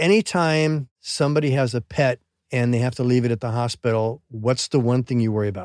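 A man talks at a fairly quick pace in an ordinary speaking voice, medium in pitch with ordinary pitch variation, and the sound is dry and close with no echo. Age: 60s. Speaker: veterinarian. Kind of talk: casual chat. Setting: on a sailboat.

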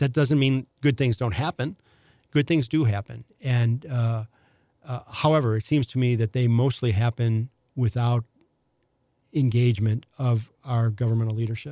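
Dry and close with no echo, a man's voice comes at a moderate pace and medium pitch with fairly even intonation, a dark, mellow tone, and a St. Louis accent. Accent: St. Louis Midwestern US. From St. Louis, Missouri. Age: 60s. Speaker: former county executive candidate. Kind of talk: casual interview conversation. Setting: studio. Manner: hesitant, filler-heavy.

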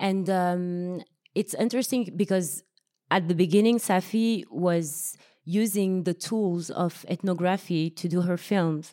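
A woman at a medium pitch speaks at a fairly slow pace with fairly even intonation, very even loudness and a dark, mellow tone, in a very clean recording with a silent background. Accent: French. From France, Paris. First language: French. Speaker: filmmaker. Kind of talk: panel discussion.

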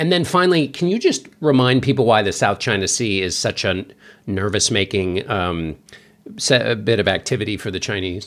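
Speaking at a moderate pace with lively intonation, a man has a plain, everyday voice pitched fairly low. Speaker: podcast co-host. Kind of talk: casual chat.

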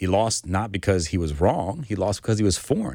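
A man's very deep, low voice at a fairly quick pace, with ordinary pitch variation, in a very clean recording with a silent background. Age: 40s. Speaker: lawyer. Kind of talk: interview storytelling.

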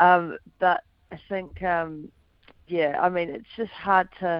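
With a New Zealand accent, a woman speaks at a fairly low pitch. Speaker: former footballer, pundit. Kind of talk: casual radio interview.

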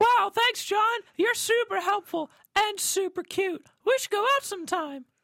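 An extremely high-pitched, put-on character voice is heard. Its pace is moderate. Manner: flirty, gushing.

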